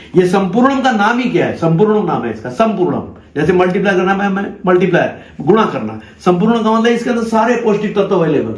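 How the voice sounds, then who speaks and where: The voice comes at a moderate pace, with audible room echo and noticeable background noise. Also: man, high pitch for a man, ordinary pitch variation. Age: 60s. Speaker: organic farming promoter. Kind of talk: sales pitch; persuasive conversation.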